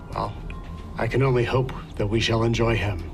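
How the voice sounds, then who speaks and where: A man puts on a character voice at a medium pitch, speaking at a moderate pace. Loud music plays in the background. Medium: actual play. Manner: halting, blunt phrasing.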